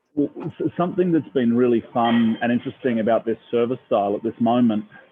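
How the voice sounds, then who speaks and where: A man with an Australian accent, at a moderate pace and medium pitch. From Australia, Melbourne. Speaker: restaurant owner. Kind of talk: casual interview. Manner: halting.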